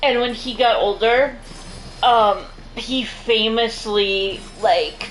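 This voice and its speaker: Speech at a very slow pace with long, frequent pauses and fairly even intonation carries audible room echo, with music in the background. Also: woman, fairly high pitch for a woman. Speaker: gaming streamer. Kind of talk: casual chat. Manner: halting.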